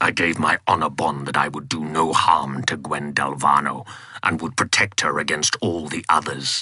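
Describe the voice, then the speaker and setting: A man speaks at a moderate pace in a put-on character voice. It is raspy and very deep, low for a man. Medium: read story. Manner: formal, archaic.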